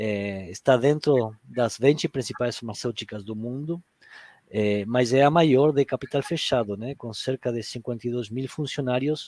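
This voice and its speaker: Someone speaks with an Argentine accent at a fairly slow pace with ordinary pitch variation, on a very clean, dry, close recording with no echo and a silent background. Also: man, medium pitch for a man. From Argentina. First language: Spanish (speaking Portuguese). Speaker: HR director. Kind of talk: panel discussion. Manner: halting, many fillers.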